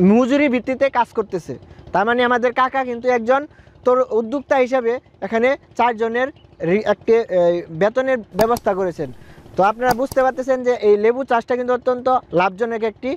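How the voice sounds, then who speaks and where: A man speaks in a dry sound with no echo. Light background noise runs underneath. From Bangladesh. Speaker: agriculture video reporter. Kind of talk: field interview and report. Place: farm machine.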